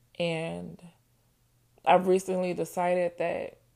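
Fairly low in pitch, a woman speaks with an American accent and a dark, mellow tone. The recording is very clean, with a silent background. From Ohio (Toledo) until 13, then Nashville, Tennessee. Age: 20s. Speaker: podcast host. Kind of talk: personal monologue.

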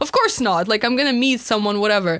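A woman talks at a very fast pace. Her pitch is fairly high and her intonation lively. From Turkey. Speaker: podcast co-host. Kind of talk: casual chat.

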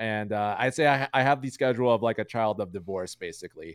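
A man's medium-pitched, normal speaking voice at a fairly quick pace, with ordinary pitch variation, on a very clean recording with a silent background. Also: dry, close sound with no echo. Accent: American. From Chicago, US Midwest. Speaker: Twitch streamer, card game player. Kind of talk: casual chat.

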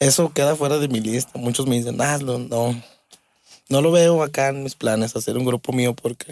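With a normal speaking voice, a man talks at a moderate pace in a medium pitch, his intonation fairly even. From Mexico, Aguascalientes. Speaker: drummer. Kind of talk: casual interview.

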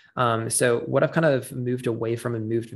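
Against a quiet background, a man with an ordinary speaking voice talks at a moderate pace, medium in pitch, with fairly even intonation. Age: 20s. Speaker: podcast host, health and wellness doctor. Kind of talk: solo podcast monologue. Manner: casual with many filler words.

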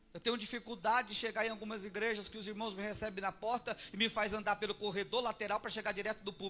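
A man with a high pitch speaks in a raised, projected voice, very fast and with hardly any pauses. His tone is bright and sharp, and his intonation stays monotone and flat. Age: 40s. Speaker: pastor. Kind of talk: sermon.

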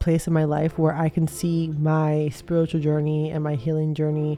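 Music plays behind a woman speaking with a very deep, low pitch. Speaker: podcast host. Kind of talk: casual monologue. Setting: at home. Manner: casual, many fillers.

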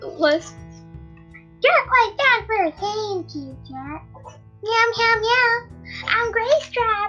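Over clear background music, a woman uses a put-on character voice at an extremely high pitch and a very slow pace. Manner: sassy, playful.

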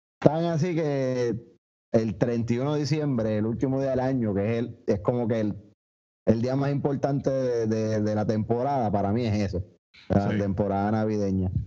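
A man with a Puerto Rican accent speaks at a moderate pace in a medium pitch, with a dark, mellow tone and ordinary pitch variation. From Puerto Rico, Añasco. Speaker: podcast co-host. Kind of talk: casual chat.

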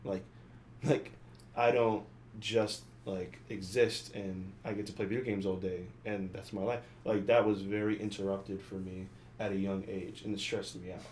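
A man talks at a moderate pace with a fairly low pitch and ordinary pitch variation. The room echo is audible. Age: 20s. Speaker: podcast co-host. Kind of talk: casual chat.

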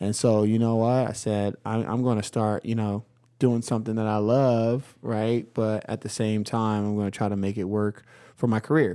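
A man speaks at a moderate pace in a fairly low, dark, mellow voice. His intonation is monotone and flat, on a very clean recording with a silent background. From Philadelphia. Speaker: high school basketball coach. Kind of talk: casual chat. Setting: studio.

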